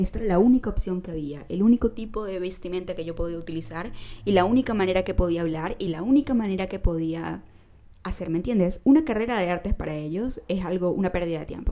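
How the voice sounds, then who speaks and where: A woman with a dark, mellow tone talks at a very fast pace. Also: medium pitch for a woman, ordinary pitch variation. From Venezuela, San Cristóbal. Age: 20s. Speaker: podcast host. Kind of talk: casual monologue.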